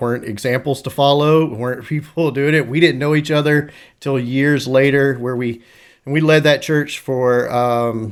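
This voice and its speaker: A man with a normal speaking voice talks at a medium pitch and a fairly slow pace. His intonation is fairly even, and the recording is very clean with a silent background. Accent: American. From US South, North Carolina. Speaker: church district superintendent. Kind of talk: casual interview.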